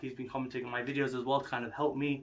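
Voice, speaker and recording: A man with an English accent at a medium pitch, talking at a very fast pace in a flat monotone over noticeable background noise. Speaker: fitness vlogger. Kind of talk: casual monologue vlog.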